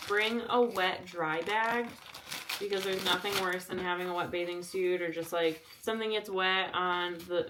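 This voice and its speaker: Light background noise sits behind a woman. She talks at a moderate pace with fairly even intonation. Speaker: travel vlogger. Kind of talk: casual vlog talk to camera. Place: home room. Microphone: camera far.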